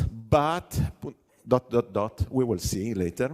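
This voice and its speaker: A man with an Italian accent at a very slow pace. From Italy. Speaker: software consultant and conference speaker. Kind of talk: conference talk. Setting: stage with audience. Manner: hesitant, many fillers; animated.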